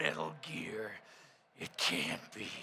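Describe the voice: A man uses a put-on character voice that is raspy and gruff, pitched fairly low.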